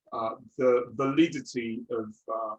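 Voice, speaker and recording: A man speaks at a medium pitch with a French accent. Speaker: seminar leader. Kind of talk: seminar talk. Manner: halting, many fillers.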